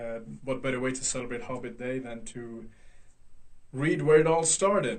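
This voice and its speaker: A man talks at a medium pitch while noticeable background noise is heard. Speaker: hobby voice actor reading a book aloud. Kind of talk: casual talk to camera.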